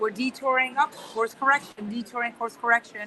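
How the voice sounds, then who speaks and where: A woman talks in a Spanish accent at a high pitch and fairly quick pace. Noticeable background noise is present. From Spain, Barcelona area. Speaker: guest speaker, trained lawyer. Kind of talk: interview conversation. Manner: many repetitions and fillers.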